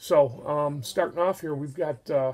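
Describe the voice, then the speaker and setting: The speaker has an American accent. Pitch varies in an ordinary way. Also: man. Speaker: amateur hockey league organizer. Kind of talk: casual mock draft commentary. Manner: fast.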